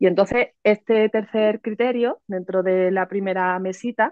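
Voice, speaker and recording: With a Cádiz Andalusian accent, a woman speaks at a medium pitch with ordinary pitch variation. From Cádiz, Andalusia, Spain. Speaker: psychologist and educator. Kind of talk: interview explanation.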